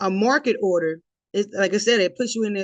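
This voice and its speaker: A fairly quick pace against a quiet background. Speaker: forex trading educator. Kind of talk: tutorial. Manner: fast.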